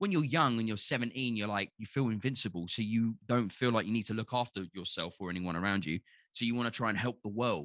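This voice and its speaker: A man with a Cockney accent, very fast, medium-pitched with ordinary pitch variation, on a very clean recording with a silent background. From London. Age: 30s. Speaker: podcast guest. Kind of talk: casual chat. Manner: animated.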